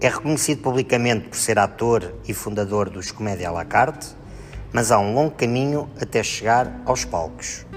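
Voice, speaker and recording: Music plays in the background as a man with a fairly low pitch speaks at a moderate pace with lively intonation. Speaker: podcast host. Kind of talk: podcast introduction.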